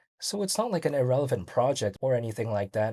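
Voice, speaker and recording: Talking at a very fast pace, a man with a medium pitch sounds somewhat breathy, with a dark, mellow tone and ordinary pitch variation. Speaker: crypto YouTuber. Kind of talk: solo video commentary. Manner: casual, filler-heavy.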